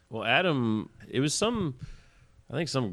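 Moderate pace in a Southern US accent, on a very clean recording with a silent background. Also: man. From Alabama (Tuscaloosa). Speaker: rock band drummer. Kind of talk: interview.

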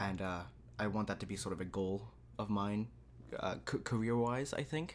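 A man with lively intonation and a fairly low pitch, a moderate pace, very even loudness, and long, frequent pauses. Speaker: podcast co-host and language learner. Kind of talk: casual chat.

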